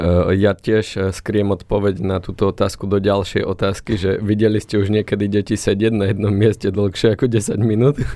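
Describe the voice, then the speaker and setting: The tone is dark and mellow, delivered in a monotone, flat intonation with very even loudness. The pace is moderate with hardly any pauses. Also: man, fairly low pitch for a man. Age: 30s. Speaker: insurance advisor. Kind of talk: casual chat.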